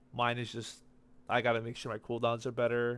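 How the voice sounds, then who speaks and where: A man's medium-pitched voice at a fairly quick pace, on a very clean recording with a silent background. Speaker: gaming video creator. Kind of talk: gameplay commentary. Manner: fast; casual.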